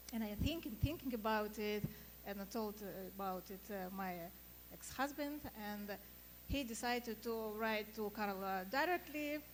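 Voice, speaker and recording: A woman with a Russian accent, fairly high in pitch, at a moderate pace with long, frequent pauses and ordinary pitch variation, over noticeable background noise. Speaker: sailing photographer. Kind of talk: panel discussion. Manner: halting.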